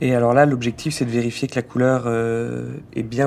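A man speaks at a medium pitch. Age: 30s. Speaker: gem buyer. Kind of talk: interview. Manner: halting.

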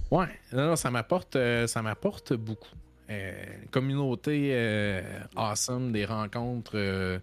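On a very clean recording with a silent background, a man with a Quebec accent speaks very slowly at medium pitch with ordinary pitch variation. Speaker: streamer. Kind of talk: casual chat. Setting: live stream.

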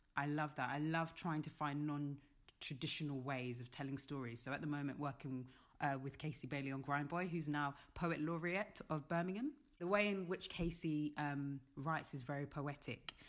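A woman with a London accent and a very deep, low pitch. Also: fairly even intonation, moderate pace. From London, England. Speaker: theatre director. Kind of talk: casual interview.

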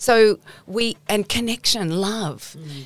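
Her intonation is lively as a woman speaks with an Australian accent. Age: 60s. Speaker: nutritionist. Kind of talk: interview. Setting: studio. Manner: animated.

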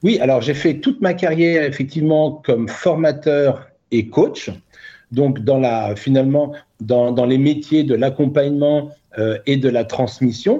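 A man's fairly high-pitched voice, dark and mellow in tone, with ordinary pitch variation, very even loudness and a fairly slow pace. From Burgundy, France. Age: 50s. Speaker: author and coach. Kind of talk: interview. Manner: hesitant with fillers.

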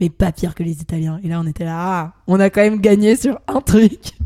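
The sound is dry and close, with no echo. A woman speaks with a dark, mellow tone, fairly low pitch and fairly even intonation. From France. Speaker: student podcast guest commenting on exchange stories. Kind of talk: casual chat.

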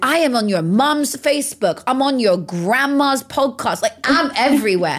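With noticeable background noise behind her, a woman speaks at a high pitch with lively intonation. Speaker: mindset coach and motivational speaker. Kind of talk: casual interview chat. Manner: loud, animated.

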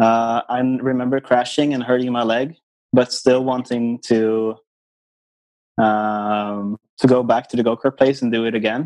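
At a fairly slow pace, a man speaks with a Swedish accent in monotone, flat intonation. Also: medium pitch for a man. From Sweden, island near Stockholm. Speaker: racing driver. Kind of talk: interview.

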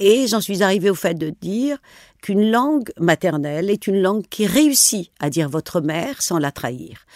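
A Tunisian accent with very wide pitch swings at a moderate pace, in a very clean, dry, close recording with no echo and a silent background. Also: woman, medium pitch for a woman. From rural northwestern Tunisia, near Algerian border. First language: Tunisian Arabic (speaking French). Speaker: novelist and journalist. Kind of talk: interview. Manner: halting, with repetitions.

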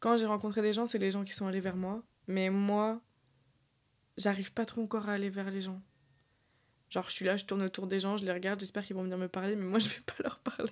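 A woman speaks at a medium pitch in a flat, monotone delivery, moving very fast between long, frequent pauses. The recording is very clean, with a silent background. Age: 20s. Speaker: podcast host. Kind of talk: casual chat. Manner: casual, hesitant with fillers.

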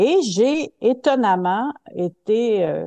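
Lively intonation runs through this voice. Its tone is dark and mellow. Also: woman. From Quebec City (Limoilou), Quebec. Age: 60s. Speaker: theatre director and stage manager. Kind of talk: interview.

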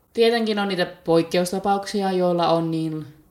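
A woman's fairly even intonation against noticeable background noise. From Finland, Päijät-Häme. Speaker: podcast host. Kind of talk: solo podcast monologue. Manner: chatty.

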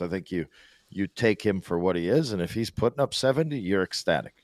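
A man with a fairly low pitch and lively intonation has an ordinary speaking voice. The recording is very clean, with a silent background and a dry, close sound with no echo. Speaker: hockey pundit. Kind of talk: casual chat. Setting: studio.

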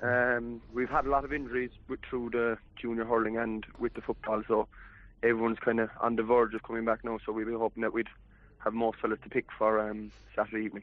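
Delivered at a fairly quick pace, the speech is monotone and flat with a West Cork accent. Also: man, medium pitch for a man. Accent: West Cork Irish. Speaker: footballer. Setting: phone call.

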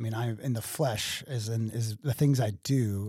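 In an American accent, a man speaks with a dark, mellow tone, somewhat breathy and with fairly even intonation, the sound dry and close with no echo. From Waterloo, Illinois area (US Midwest). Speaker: DJ business owner. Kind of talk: interview conversation.

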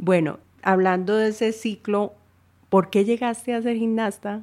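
A woman speaks at a moderate pace in a dark, mellow tone. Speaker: podcast host. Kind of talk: interview conversation.

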